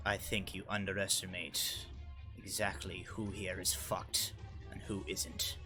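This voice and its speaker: A man's put-on character voice, fairly low in pitch, at a moderate pace over loud music in the background. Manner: sneering.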